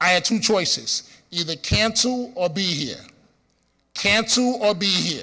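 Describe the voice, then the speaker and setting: Speaking at a fairly slow pace in a raised, projected voice, a man with a Bronx accent has a high pitch, a bright, sharp tone and ordinary pitch variation, on a very clean recording with a silent background. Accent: Bronx New York. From New York City, the Bronx. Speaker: radio host. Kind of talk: conference speech. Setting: stage with audience.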